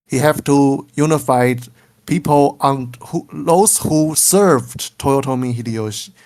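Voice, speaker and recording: The speaker talks at a fairly slow pace with a Chinese accent. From Taiwan. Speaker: game scenario creator. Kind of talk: casual interview. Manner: halting, searching for English words.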